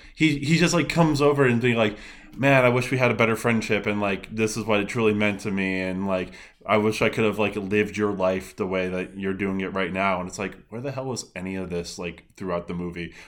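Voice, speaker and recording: With a plain, everyday voice, the speaker goes at a fairly quick pace with ordinary pitch variation. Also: man, fairly low pitch for a man. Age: 30s. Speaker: guest podcaster, reviewer. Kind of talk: casual chat.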